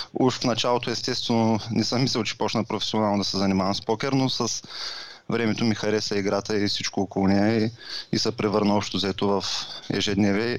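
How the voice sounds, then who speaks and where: A man talks at a fairly quick pace. His pitch is fairly low, and his intonation is monotone and flat. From Bulgaria, Varna. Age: 30s. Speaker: professional poker player and online seller. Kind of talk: interview.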